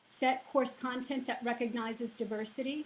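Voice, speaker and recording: At a fairly slow pace, a woman talks in a high voice with monotone, flat intonation. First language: not English. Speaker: college professor. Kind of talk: panel discussion. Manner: hesitant, with many fillers.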